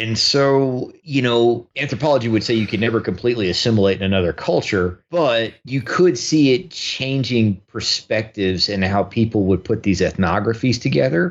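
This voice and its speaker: A man speaks at a moderate pace with lively intonation, medium pitch, and hardly any pauses. His loudness stays very even in an unremarkable speaking voice. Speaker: radio show host appearing as guest. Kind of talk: casual discussion.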